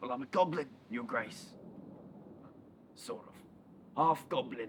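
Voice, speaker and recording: A man puts on a character voice at medium pitch and a moderate pace. Clear background noise runs behind him. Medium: short film. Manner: fawning, oily.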